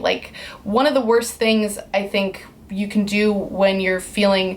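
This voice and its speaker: A woman keeps a moderate pace as noticeable background noise continues. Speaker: vlogger. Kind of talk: personal vlog talk.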